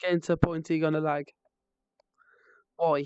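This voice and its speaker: A woman with a West Midlands accent at a fairly low pitch. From West Midlands, England. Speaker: streamer. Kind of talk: casual live stream chat.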